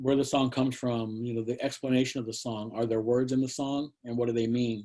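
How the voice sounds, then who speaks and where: A man with an American accent talks in a dark, mellow tone at a medium pitch. His pace is fairly quick and his intonation monotone and flat. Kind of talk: Q&A in an online presentation. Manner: halting, many fillers and repetitions.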